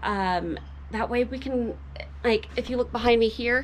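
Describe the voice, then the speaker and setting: Background silence and a very clean recording frame the voice. She, a woman, talks fairly slowly. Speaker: cabin renovation vlogger. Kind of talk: casual vlog narration.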